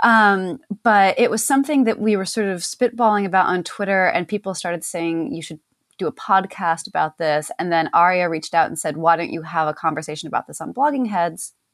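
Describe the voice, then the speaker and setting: In a plain, everyday voice, a woman speaks at a fairly quick pace with lively intonation, the sound dry and close with no echo. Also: medium pitch for a woman. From rural upstate New York. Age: 30s. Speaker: journalist and podcast co-host. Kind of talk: casual interview conversation.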